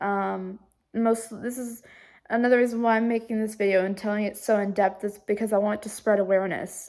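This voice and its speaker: The speaker talks at a fairly quick pace with monotone, flat intonation on a very clean recording with a silent background. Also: woman. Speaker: vlogger. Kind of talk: personal vlog. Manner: halting, many fillers.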